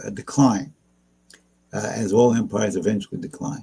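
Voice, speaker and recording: A man with an American accent talks at a fairly quick pace in a medium pitch, his somewhat breathy voice dark and mellow in tone, with ordinary pitch variation. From New York. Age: 70s. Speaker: geopolitical and economic analyst. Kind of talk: interview discussion. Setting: live stream.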